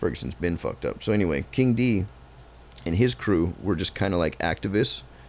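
Vocal fry and very wide pitch swings in a man's voice. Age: 30s. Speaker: podcast host. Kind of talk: casual chat.

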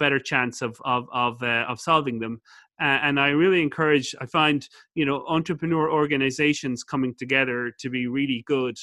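A man with an Irish accent speaks fairly quickly in a fairly high pitch with a bright, sharp tone. The recording is very clean, with a silent background and a dry, close sound with no echo. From Ireland. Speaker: business school professor and entrepreneur. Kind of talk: interview. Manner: fast; animated.

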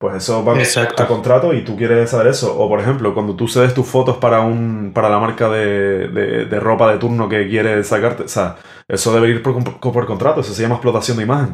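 Fairly even intonation and a fairly quick pace from a man at a medium pitch. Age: 20s. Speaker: musician. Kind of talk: casual chat. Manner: halting.

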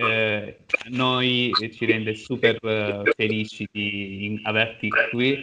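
A man at a very slow pace, his intonation fairly even. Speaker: interviewer. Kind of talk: interview. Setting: video call.

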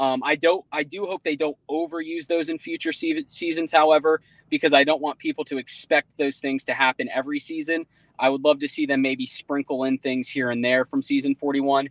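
A man with an American accent has an unremarkable speaking voice, fairly high in pitch. He talks at a fairly quick pace with fairly even intonation, in a dry, close sound with no echo. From Jacksonville, Florida. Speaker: reality TV podcast host. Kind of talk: casual group chat.

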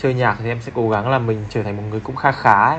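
Over noticeable background noise, a man at medium pitch speaks very fast. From Hanoi, northern Vietnam. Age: 20s. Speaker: photographer. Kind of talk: casual chat. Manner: halting.

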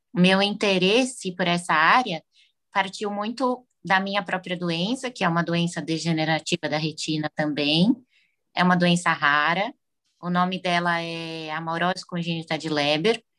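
Bright and sharp in tone, a woman speaks at a moderate pace. Her pitch is fairly low, with ordinary variation. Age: 20s. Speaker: psychologist. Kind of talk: interview.

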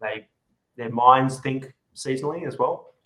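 Male speaker in an Australian accent, fairly even intonation, moderate pace. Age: 40s. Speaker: whisky and food pairing event host. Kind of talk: casual chat. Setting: video call.

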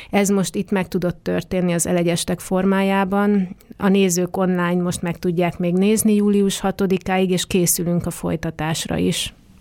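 A woman's medium-pitched, monotone, flat delivery at a fairly slow pace with hardly any pauses, in a very clean recording with a silent background. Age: 40s. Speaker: dance artist and arts organization leader. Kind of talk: interview. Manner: hesitant with fillers.

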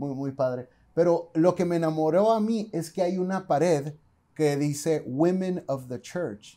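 Recorded very cleanly against a silent background, a man with a fairly high pitch speaks at a fairly slow pace in a dark, mellow tone, with ordinary pitch variation. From Mexicali, Baja California, Mexico. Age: 30s. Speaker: podcast host and theology student. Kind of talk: casual chat.

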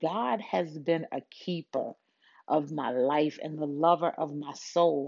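A woman's very deep, low voice at a very slow pace, with ordinary pitch variation. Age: 40s. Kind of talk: motivational talk. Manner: animated.

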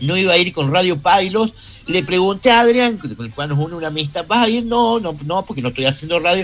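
This man's voice sits high in pitch and makes very wide pitch swings. He speaks at a moderate pace. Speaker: radio producer and host. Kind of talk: radio interview.

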